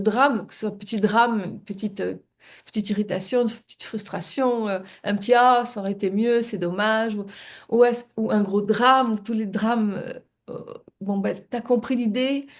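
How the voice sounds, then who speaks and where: A woman's fairly high voice at a moderate pace, with ordinary pitch variation, big swings in loudness and a quiet background. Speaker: spiritual coach and live show co-host. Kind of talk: reflective live-stream talk. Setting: live stream. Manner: halting, many repetitions and hesitations.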